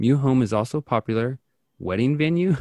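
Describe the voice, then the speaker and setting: A man with an American accent speaks in an unremarkable speaking voice at medium pitch with lively intonation. The recording is very clean, with a silent background and a dry, close sound with no echo. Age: 30s. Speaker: podcast host. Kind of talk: casual chat; reading aloud.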